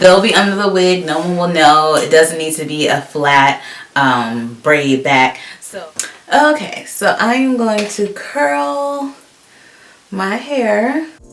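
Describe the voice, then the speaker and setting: In an American accent, a woman of medium pitch speaks at a very slow pace with very wide pitch swings, and audible room echo surrounds her voice. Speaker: beauty vlogger. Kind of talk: tutorial. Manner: casual, animated.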